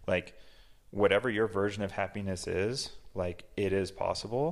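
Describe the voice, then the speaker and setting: Speaking at a moderate pace, a man uses a plain, everyday voice pitched fairly low. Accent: American. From Massachusetts. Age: 40s. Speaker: business owner. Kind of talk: casual interview. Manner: casual, filler-heavy.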